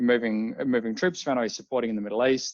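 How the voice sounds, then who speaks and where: He speaks with an Australian accent. His words come out very fast. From Australia, Melbourne. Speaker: drone company CEO, former air force pilot. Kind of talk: interview.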